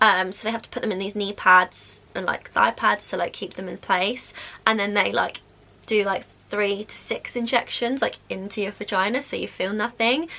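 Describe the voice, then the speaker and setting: A woman speaks with a Southern English accent at a medium pitch. Her intonation stays fairly even. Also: moderate pace, big swings in loudness. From South East England. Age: 20s. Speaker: vlogger. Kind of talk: casual talk to camera.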